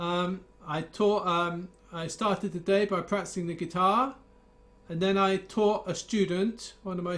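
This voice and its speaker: The speaker goes at a fairly slow pace with fairly even intonation. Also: man. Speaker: guitar teacher. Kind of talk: casual chat. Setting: video call.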